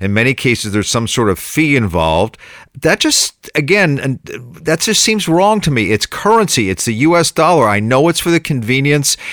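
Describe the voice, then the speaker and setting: Dry and close with no echo, on a very clean recording with a silent background, a man speaks at a moderate pace in a fairly high pitch, his pitch swinging very widely while his loudness stays very even. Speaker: consumer reporter and podcast host. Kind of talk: interview.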